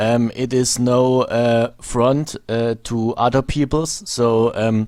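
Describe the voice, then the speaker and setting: A man speaks very slowly at a medium pitch with fairly even intonation. The loudness stays very even on a very clean recording with a silent background. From Germany. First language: German. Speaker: video blogger. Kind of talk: monologue commentary video. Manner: halting, many fillers.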